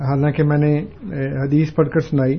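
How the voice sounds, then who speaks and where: A man's somewhat breathy, fairly high voice, flat and monotone in intonation. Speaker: religious scholar answering listener questions. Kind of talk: call-in religious discussion. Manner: calm, never bitter in tone.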